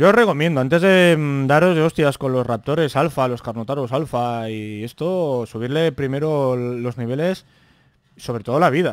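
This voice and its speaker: A man with a fairly high pitch and ordinary pitch variation is recorded with a dry sound, no echo and a quiet background. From Spain. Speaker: gaming youtuber. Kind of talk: gameplay commentary. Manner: animated. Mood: relaxed, joking. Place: home room. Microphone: studio mic.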